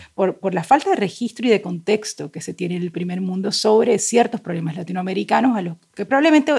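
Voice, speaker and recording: A woman speaks at a fairly quick pace with hardly any pauses, her pitch medium and her tone dark and mellow. Her voice is somewhat breathy, with lively intonation and big swings in loudness. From Colombia, Cartagena. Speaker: novelist. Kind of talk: casual chat.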